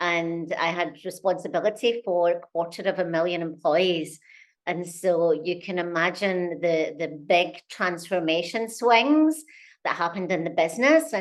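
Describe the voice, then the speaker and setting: Over a quiet background, a woman with a Scottish accent speaks at a fairly low pitch. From Scotland. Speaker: company CEO. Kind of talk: interview.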